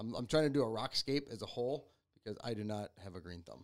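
This man has an ordinary speaking voice, fairly low in pitch with ordinary pitch variation, and moves at a fairly quick pace. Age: 40s. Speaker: podcast host and youth coach. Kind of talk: casual chat.

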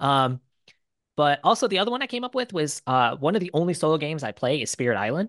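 Someone with an American accent talks at a very fast pace against a quiet background. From US Midwest, Detroit. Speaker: board game YouTuber and English teacher. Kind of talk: casual interview chat.

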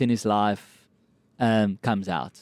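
A man with a South African accent, a dark, mellow tone, and a dry, close sound with no echo. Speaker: comedian and actor. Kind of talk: casual chat. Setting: podcast recorded inside a cinema.

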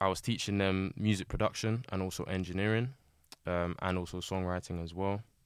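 In a South London accent, a man speaks with a very deep, low pitch and a monotone, flat intonation. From Southeast London, Lewisham. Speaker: music producer and engineer. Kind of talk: casual chat.

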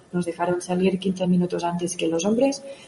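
Noticeable noise sits in the background. A woman talks at a medium pitch, her intonation fairly even. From Catalonia, Spain (Òdena, near Igualada). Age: young. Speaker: mountain runner and fitness coach. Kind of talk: radio interview.

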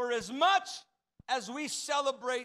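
A man's raised, projected voice, bright and sharp in tone. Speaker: pastor. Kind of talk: Pentecostal-style sermon, exhorting the congregation with call-and-response. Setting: church service, also streamed online. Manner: impassioned and rhythmic, piling up repeated 'you're never gonna' phrases; fervent crowd-rousing, prompting amens and applause.

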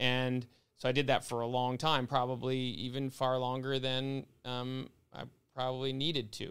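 A man speaks at a moderate pace in a flat, monotone delivery. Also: medium pitch for a man. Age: 40s. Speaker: business owner. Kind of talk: casual chat.

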